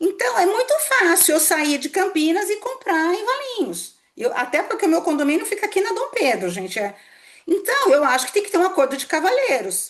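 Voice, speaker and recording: Her pitch is extremely high, with very wide pitch swings. This woman talks at a moderate pace. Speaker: tax law professor. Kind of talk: lecture.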